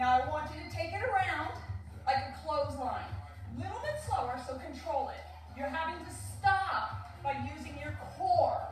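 Clear music plays in the background as a woman speaks at a moderate pace with big swings in loudness and audible room echo. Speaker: fitness instructor. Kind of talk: workout instruction. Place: home room. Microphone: camera far.

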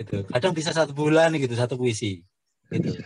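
A somewhat breathy man with a fairly high pitch talks at a very fast pace, the sound dry with no echo against a quiet background. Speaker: poetry community founder. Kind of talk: book discussion talk. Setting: video call. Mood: friendly, cheerful. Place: home room. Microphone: video call.

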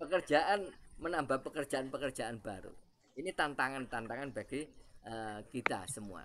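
An ordinary speaking voice moves at a moderate pace with lively intonation. Its loudness swings widely. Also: man, medium pitch for a man. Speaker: university lecturer. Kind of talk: webinar presentation. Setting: video call.

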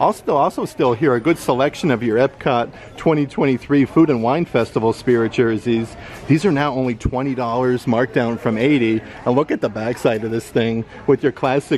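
Fairly even intonation carries a man's speech. His pace is fairly quick, over light background noise. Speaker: vlogger filming a store visit. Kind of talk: casual vlog commentary. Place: shop. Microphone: phone near.

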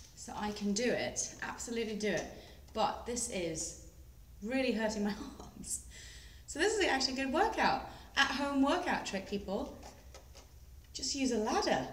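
A woman's lively intonation at a moderate pace, long, frequent pauses, and audible room echo. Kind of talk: casual vlog chat. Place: garage. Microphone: phone near.

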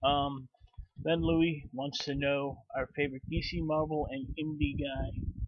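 Against a quiet background, a man with an American accent talks at a fairly slow pace with fairly even intonation. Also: dry sound with no echo. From Chicago, US Midwest. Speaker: YouTuber, comic book collector; comic collector vlogger. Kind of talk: casual vlog; casual vlog chat. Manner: halting, many fillers. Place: home room. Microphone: webcam.

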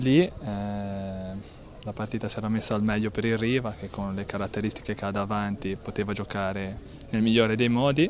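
A man speaks at a moderate pace and fairly low pitch with hardly any pauses. His intonation is fairly even, the sound dry with no echo and light background noise. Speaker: football coach or player. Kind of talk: post-match interview, reflecting on the game. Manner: measured, conversational, with hesitations and fillers. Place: open country.

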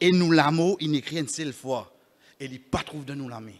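Against a quiet background, a man talks in a fairly high voice with ordinary pitch variation. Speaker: imam giving Friday sermon. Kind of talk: Friday sermon (khutbah) mixing French, Creole and Arabic. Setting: mosque. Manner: earnest, exhortative, preacherly; rhetorical questions addressing the congregation. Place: church. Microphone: podium.

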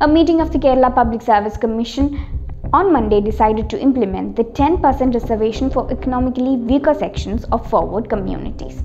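Over light background noise, a woman speaks at a very fast pace in a high voice with ordinary pitch variation. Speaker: news presenter. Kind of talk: news bulletin reading. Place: office.

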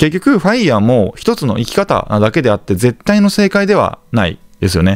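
Very wide pitch swings and vocal fry from a man at a fairly high pitch and moderate pace. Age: 30s. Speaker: real estate investor and YouTuber. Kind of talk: monologue to camera, informal lecture. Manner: polite, conversational with filler words.

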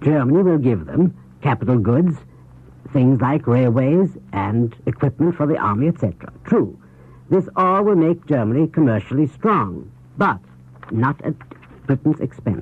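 With lively intonation, a man talks at a moderate speed. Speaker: foreign correspondent and news commentator. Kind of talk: 1930s radio news commentary. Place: studio. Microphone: old recording.

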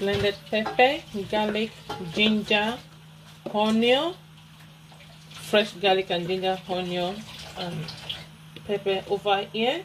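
Noticeable background noise sits behind speech delivered at a fairly slow pace. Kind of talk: cooking tutorial. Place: kitchen. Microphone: phone near.

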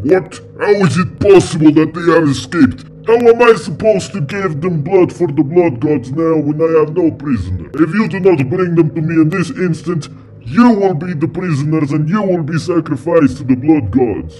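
A man's put-on character voice, pompous and menacing, fairly high in pitch with hardly any pauses, over clear music in the background. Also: moderate pace. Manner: pompous, menacing.

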